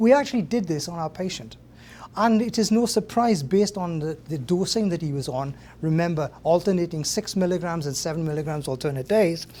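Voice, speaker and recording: A man with a Welsh accent talks at a fairly quick pace in a high voice for a man, his dark, mellow tone carried by lively intonation. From Wales. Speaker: professor. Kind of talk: lecture. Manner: halting.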